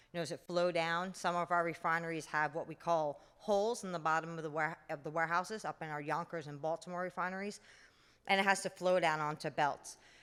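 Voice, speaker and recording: A New York accent at a very fast pace on a very clean recording with a silent background. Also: woman, fairly low pitch for a woman. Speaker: refinery general manager. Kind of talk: conference talk.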